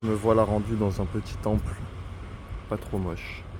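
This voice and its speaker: The man's tone is dark, mellow and relaxed, with vocal fry. His pitch is fairly low, with ordinary variation. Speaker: travel vlogger. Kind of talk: vlog narration. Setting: outdoors walking in city. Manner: casual, relaxed.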